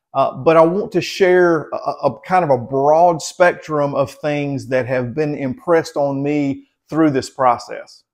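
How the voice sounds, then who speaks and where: Against a quiet background, a man with a fairly high voice talks at a fairly slow pace with ordinary pitch variation and hardly any pauses. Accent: Southern US. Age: 50s. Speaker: health vlogger. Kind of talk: casual talk to camera. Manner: halting, many fillers and repeats.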